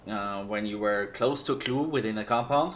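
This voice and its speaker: Speaking at a moderate pace with a German accent, a man has a medium pitch and ordinary pitch variation. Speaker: streamer and former esports caster. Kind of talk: livestream monologue. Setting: livestream. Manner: halting.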